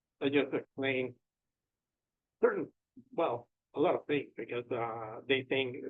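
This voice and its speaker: A man with a Spanish accent talks in a flat monotone. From Mexico. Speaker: real estate agent. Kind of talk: interview. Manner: halting.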